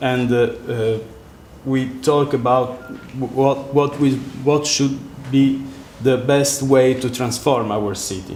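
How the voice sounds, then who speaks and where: A speaker with an Italian accent talks at a very slow pace in a flat, monotone delivery, leaving long and frequent pauses. Noticeable background noise and audible room echo fill the recording. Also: man, medium pitch for a man. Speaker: architect. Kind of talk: lecture. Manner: halting.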